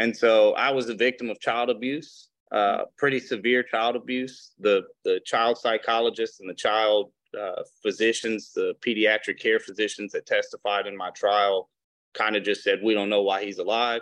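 A man with a Mississippi accent talks at a moderate pace, in dry, close sound with no echo over a quiet background. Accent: Southern US (Mississippi). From US South, Mississippi Gulf Coast. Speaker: attorney. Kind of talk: testimony.

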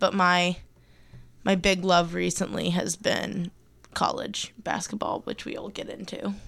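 A woman speaks at a fairly slow pace in an ordinary speaking voice with a fairly low pitch. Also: very clean recording, silent background. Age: 20s. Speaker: student podcast co-host. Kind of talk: casual chat.

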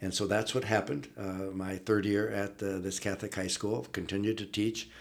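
Speech in an Upper Midwest accent runs at a fairly quick pace with fairly even intonation. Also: man. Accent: Upper Midwest (Minnesota). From northern Minnesota, Iron Range. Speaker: retired athletics director. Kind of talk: interview. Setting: studio.

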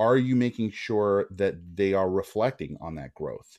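A man speaks in a normal speaking voice at a fairly low pitch with ordinary pitch variation, against a quiet background. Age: 40s. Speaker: agency co-founder. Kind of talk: podcast interview.

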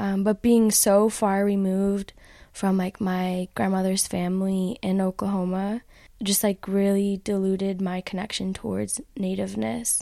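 Very clean recording with a silent background. A woman speaks fairly slowly in a flat, monotone way. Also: medium pitch for a woman. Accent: American. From Chicago. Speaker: philosophy PhD student and poet. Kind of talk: interview conversation; poetry reading. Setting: in-person interview.

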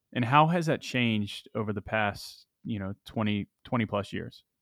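A man with an unremarkable speaking voice talks at a moderate pace, fairly low in pitch for a man, with ordinary pitch variation and a dry, close sound with no echo. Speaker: podcast co-host, software executive. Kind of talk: podcast interview.

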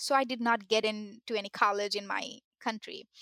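A woman speaks with a fairly high pitch and a bright, sharp tone. Her intonation is fairly even. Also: dry, close sound with no echo, very clean recording, silent background. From Bangladesh. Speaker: student mentor. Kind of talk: interview. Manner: halting.

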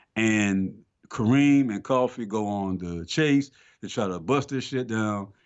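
With an American accent and an ordinary speaking voice, a man talks at a fairly slow pace, his fairly low pitch showing ordinary variation. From Atlanta, Georgia, US South. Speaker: film podcast co-host. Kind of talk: casual chat.

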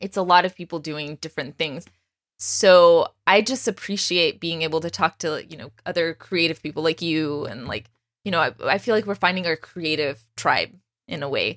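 A woman with a normal speaking voice and a fairly low pitch talks at a moderate pace, recorded with a dry, close sound with no echo. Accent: American. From Texas, US. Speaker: podcast host. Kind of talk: interview. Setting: video call.

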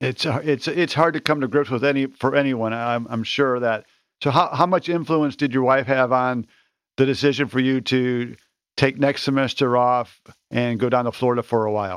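A man's unremarkable speaking voice, medium pitch, fairly even intonation, moderate pace, quiet background. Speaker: podcast host. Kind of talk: interview conversation.

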